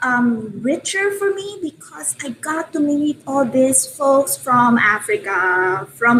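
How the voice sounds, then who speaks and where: Very slowly and with hardly any pauses, a woman with a Filipino accent speaks at a high pitch. Her pitch swings very widely over noticeable background noise. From Philippines. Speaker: open education advocate. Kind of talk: casual chat. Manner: hesitant, many fillers.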